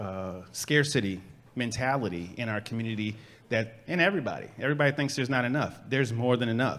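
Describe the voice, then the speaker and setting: A man talks in a plain, everyday voice at a fairly quick pace. His pitch is medium, with ordinary pitch variation. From Chicago, South Side. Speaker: urban farmer and organizer. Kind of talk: panel discussion.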